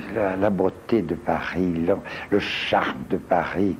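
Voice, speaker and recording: A man with a very deep, low pitch talks at a very slow pace over noticeable background noise. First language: Portuguese (speaking French). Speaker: stage performer. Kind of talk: TV interview. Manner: halting.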